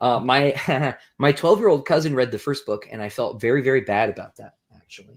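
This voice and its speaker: Very clean recording of a male speaker against a silent background. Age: 30s. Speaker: science fiction author. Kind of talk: casual chat. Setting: livestream with guests. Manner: fast.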